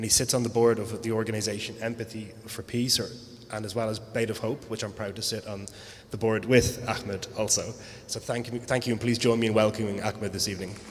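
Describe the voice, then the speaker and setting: A man speaks at a very fast pace in an Irish accent, his intonation monotone and flat. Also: medium pitch for a man. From Ireland. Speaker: panel moderator. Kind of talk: event introduction. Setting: live event with audience.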